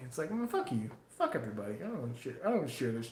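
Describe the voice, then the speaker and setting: A man at a fairly quick pace with very wide pitch swings, plus audible room echo and noticeable background noise. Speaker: knife maker livestreamer. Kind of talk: casual livestream chat. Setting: live stream.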